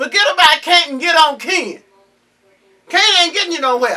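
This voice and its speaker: In a raised, projected voice, a woman speaks at an extremely high pitch and a moderate pace, with an animated tone and lively intonation. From US South, Georgia. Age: 70s. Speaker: cook and candy maker. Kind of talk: casual chat. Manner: animated, repetitive stammering.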